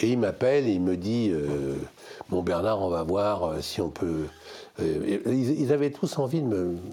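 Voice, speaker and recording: A man speaks very slowly in a fairly low voice, his loudness very even but his pitch swinging very widely. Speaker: music industry executive. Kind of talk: casual chat. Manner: animated.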